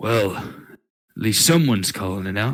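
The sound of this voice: A man's put-on character voice, raspy and fairly low, at a moderate pace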